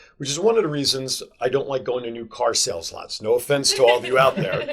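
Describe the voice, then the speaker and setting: Talking very fast with an American accent, a man is heard over noticeable background noise. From New Jersey. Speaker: sales professional. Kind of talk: interview.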